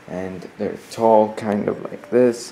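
Over light background noise, a man speaks at a very slow pace. His pitch sits fairly low. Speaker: vlogger. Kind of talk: casual vlog chat. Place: home room. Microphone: phone near.

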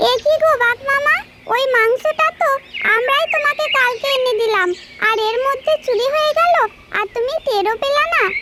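An extremely high-pitched cartoonish character voice at a moderate pace, with light background noise. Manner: sly, playful.

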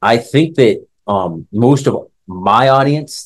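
A man with lively intonation against a quiet background. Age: 30s. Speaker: martial arts instructor. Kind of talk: casual monologue. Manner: casual with frequent filler words. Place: home room. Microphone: phone near.

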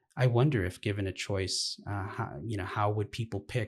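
A fairly low-pitched, somewhat breathy man with an American accent, fairly quick and fairly even in intonation. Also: quiet background. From Los Angeles, US. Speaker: activist, nonprofit director; interview guest. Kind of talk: interview. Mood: calm, thoughtful. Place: home room.

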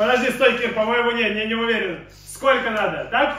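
With strong room echo, a man speaks in an extremely high, bright, sharp voice with ordinary pitch variation. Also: fairly quick pace.

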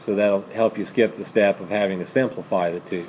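Light background noise is present while a man speaks. His pace is moderate and his intonation fairly even. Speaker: math teacher. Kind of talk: lecture. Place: classroom.

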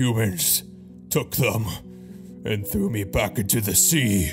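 Over clear music in the background, a man puts on a character voice at a fairly low pitch and a fairly slow pace. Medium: dub. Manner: weak, pleading.

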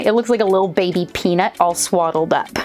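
Faint music plays behind a woman talking at a very fast pace. Her pitch variation is ordinary. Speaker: toy reviewer. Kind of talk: product review commentary. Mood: cheerful, enthusiastic. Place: home room.

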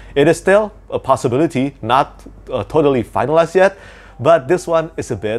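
A man speaks at a moderate pace with vocal fry, his pitch swinging very widely. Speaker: book channel host. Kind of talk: casual news commentary. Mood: cheerful, enthusiastic. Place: home room.

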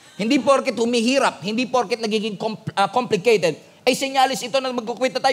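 With a Filipino accent, a man speaks in an animated tone at an extremely high pitch and a fairly quick pace. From Philippines. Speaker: pastor. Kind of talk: sermon. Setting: church with congregation. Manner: animated, call-and-response; emphatic, rousing. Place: church. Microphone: headset.

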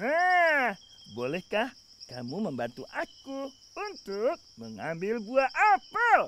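A man performs a put-on character voice at an extremely high pitch with a bright, sharp tone. He speaks at a slow pace with very wide pitch swings.

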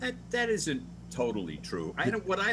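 Over noticeable background noise, a man with an American accent speaks at a moderate pace, his pitch swinging very widely. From US. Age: 70s. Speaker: call-in panelist; panelist. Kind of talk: casual chat. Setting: video call. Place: home room. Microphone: video call.

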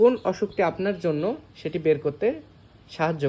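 With ordinary pitch variation, a man speaks in a high-pitched voice with a dark, mellow tone. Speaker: doctor. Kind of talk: tutorial.

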